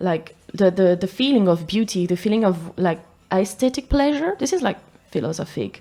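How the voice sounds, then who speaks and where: Lively intonation marks this woman's medium-pitched speech, delivered at a moderate pace in a French accent. There is noticeable background noise. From France, Paris area (Versailles). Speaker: photographer. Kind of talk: casual interview chat. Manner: halting, searching for words.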